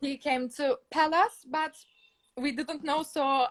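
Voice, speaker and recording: A woman speaks very slowly at a high pitch, in a Turkish accent. The sound is dry and close with no echo, and her intonation is fairly even. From Turkey. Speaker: fan caller. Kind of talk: casual chat. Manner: halting.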